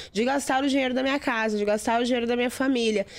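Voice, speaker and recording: A woman with a high pitch speaks at a very fast pace. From southern Brazil, Rio Grande do Sul. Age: 40s. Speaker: digital strategist and speaker. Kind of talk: interview testimony.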